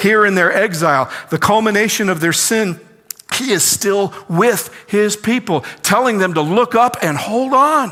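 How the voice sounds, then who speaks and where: A man speaks at a fairly slow pace in a high, raised, projected voice with lively intonation. Noticeable background noise runs underneath. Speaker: pastor. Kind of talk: sermon preached to a congregation.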